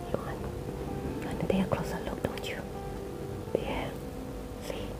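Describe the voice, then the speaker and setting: The talking proceeds at a moderate pace, with loud background noise all around. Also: woman. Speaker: ASMR eating video host. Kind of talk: casual talk to camera. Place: home room.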